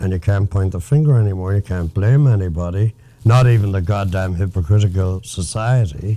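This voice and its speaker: Speaking at a fairly quick pace, a man with an Irish accent uses a fairly low pitch and ordinary pitch variation. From Galway, Ireland. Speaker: former Hollywood writer. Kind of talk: interview answer.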